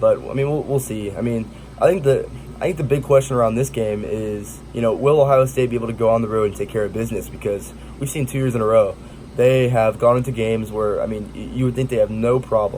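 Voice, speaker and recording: A man with an American accent speaks at a very fast pace and a medium pitch, with ordinary pitch variation. Noticeable background noise is present. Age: young. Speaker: college football YouTuber. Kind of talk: casual sports commentary. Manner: halting, stuttering.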